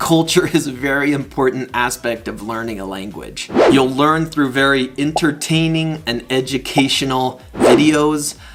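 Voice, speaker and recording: Music plays in the background as a man with a General American accent speaks at a fairly slow pace, fairly high in pitch with fairly even intonation. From United States. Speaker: English teacher. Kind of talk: promotional channel introduction. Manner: clear, deliberate.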